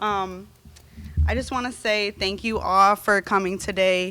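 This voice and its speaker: Music plays behind a woman speaking at a medium pitch and a fairly slow pace. Her voice is shaky, with fairly even intonation. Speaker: nursing graduate. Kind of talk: graduation speech. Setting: ceremony stage with audience. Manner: shaky, emotional.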